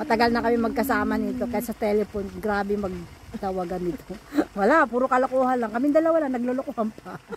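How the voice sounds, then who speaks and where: A woman with a fairly high pitch speaks at a very fast pace with ordinary pitch variation. The sound is dry with no echo, and there is light background noise. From Philippines. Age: 60s. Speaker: vlogger. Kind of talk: casual chat. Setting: outdoors. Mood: cheerful, joking. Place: waterside. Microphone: phone near.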